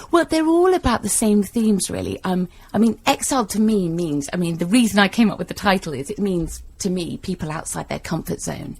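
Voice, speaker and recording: A woman with a London accent and medium pitch talks at a fairly quick pace, somewhat breathy, with hardly any pauses. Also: lively intonation. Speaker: novelist. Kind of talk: radio interview. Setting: radio studio.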